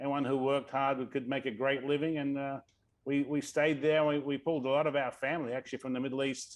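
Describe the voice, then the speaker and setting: In an Australian accent, a man talks very fast in a monotone, flat delivery at a fairly high pitch. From Australia, Sydney. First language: Arabic. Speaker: tech executive. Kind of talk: interview.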